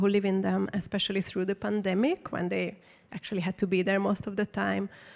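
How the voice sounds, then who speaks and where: This speaker has a Hungarian accent. The delivery moves at a fairly quick pace. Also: woman, dry, close sound with no echo. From Hungary. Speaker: artist and photographer. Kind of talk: public talk Q&A. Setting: stage with audience. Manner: casual, many fillers.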